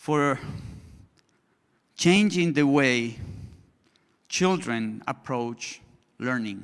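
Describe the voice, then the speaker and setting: On a very clean recording with a silent background, a man with a Spanish accent speaks at a very slow pace and medium pitch, using lively intonation and long, frequent pauses. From Colombia. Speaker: education consultant, conference speaker. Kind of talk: conference presentation. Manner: halting, with restarts and fillers.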